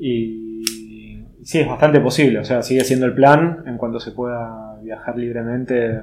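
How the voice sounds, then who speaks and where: A man's ordinary speaking voice at a medium pitch, fairly slow with hardly any pauses, fairly even intonation and big swings in loudness. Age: 30s. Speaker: woodworker and artist. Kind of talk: casual interview.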